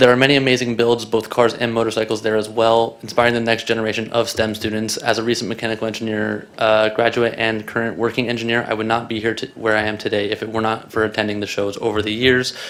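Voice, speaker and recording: At a very fast pace with hardly any pauses, a man speaks in a flat, medium-pitched monotone, with audible room echo and noticeable background noise. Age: 20s. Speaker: public commenter, engineer. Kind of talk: public comment at council meeting. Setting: city council chamber.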